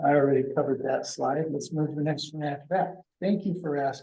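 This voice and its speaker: A man with a fairly high pitch speaks in a dark, mellow tone, with audible room echo around him. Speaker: consultant presenting to a board. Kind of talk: meeting presentation. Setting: council meeting room, also on Zoom. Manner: soft-spoken.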